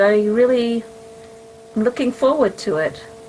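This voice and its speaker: A woman with an English accent and fairly high pitch, over noticeable background noise. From Israel. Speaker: mathematician and professor. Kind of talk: podcast interview.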